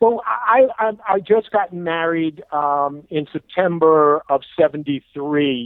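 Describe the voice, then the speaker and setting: A man with a New York accent, speaking at a very slow pace with lively intonation and hardly any pauses. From New York, Brooklyn and Long Island. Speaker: inventor. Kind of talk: interview. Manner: halting, many fillers.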